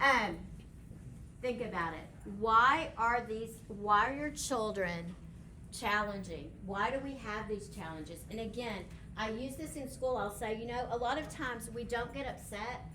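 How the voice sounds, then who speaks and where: Someone with an American accent speaks at a moderate pace with ordinary pitch variation. The recording carries noticeable background noise and audible room echo. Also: woman. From West Texas. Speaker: behavior specialist. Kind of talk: workshop presentation.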